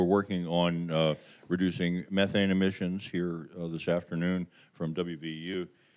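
Speaking with an American accent, a man uses a very deep, low pitch and monotone, flat intonation. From West Virginia. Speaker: panel moderator. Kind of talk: conference introductions. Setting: stage with audience. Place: hall. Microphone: podium.

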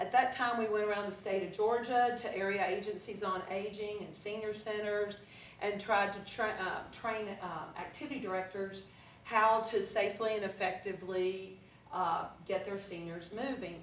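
Speaking at a moderate pace, a woman keeps her intonation fairly even. Light background noise and audible room echo are present. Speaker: fitness instructor giving a talk. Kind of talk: presentation to a live audience. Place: meeting room. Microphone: camera far.

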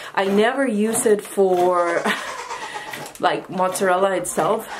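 A woman's fairly even intonation against noticeable background noise. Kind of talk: casual vlog chat. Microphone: phone near.

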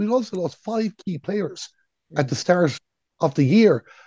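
A man's dark, mellow voice with an Irish accent at a moderate pace, dry with no echo, over a quiet background. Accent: Irish (Galway). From Ireland. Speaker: sports radio commentator; radio sports commentator guest. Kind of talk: casual chat. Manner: calm. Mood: relaxed, storytelling. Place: home room. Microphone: earbuds.

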